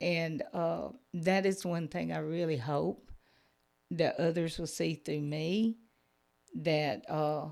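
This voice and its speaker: Very slow speech from a woman with a very deep, low voice and a Southern US accent, long, frequent pauses, in a very clean recording with a silent background. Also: ordinary pitch variation. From Georgia, US South. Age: 60s. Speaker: Sunday school teacher. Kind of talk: testimony.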